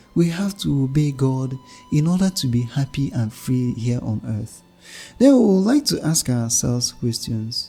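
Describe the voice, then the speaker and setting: Music sits in the background as a man talks at a moderate pace. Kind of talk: homily.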